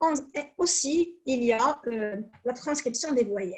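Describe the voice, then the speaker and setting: A woman speaks with a Moroccan accent. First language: Moroccan Arabic (speaking French). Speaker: academic researcher. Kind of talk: conference presentation. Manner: hesitant, frequent fillers.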